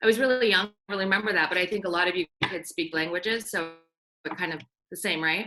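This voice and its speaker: A woman with an Iranian accent at a very fast pace, medium pitch and ordinary pitch variation. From US, raised from infancy (born in Iran). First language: Farsi. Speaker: banker. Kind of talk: casual chat.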